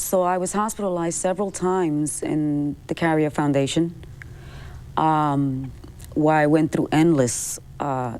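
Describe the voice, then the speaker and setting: The speaker has a Spanish accent. The pace is fairly slow, with ordinary pitch variation. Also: woman, very deep, low pitch for a woman. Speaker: person with depression, singer. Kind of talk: TV talk show interview, personal testimony.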